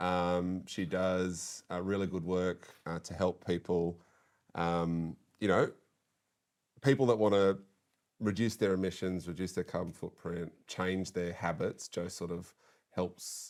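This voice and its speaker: In an Australian accent, a man speaks with a very deep, low pitch at a fairly slow pace. His intonation is monotone and flat, and the recording is very clean with a silent background. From Western Sydney, Australia. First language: French. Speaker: politician. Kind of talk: casual chat. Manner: halting.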